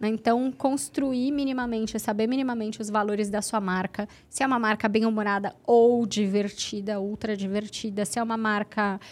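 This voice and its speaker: Speaking with an ordinary speaking voice, a woman at fairly high pitch keeps a moderate pace, fairly even intonation and hardly any pauses, all in a very clean recording with a silent background. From Santos, São Paulo state, Brazil. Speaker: journalist and social media marketing entrepreneur. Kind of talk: casual podcast conversation.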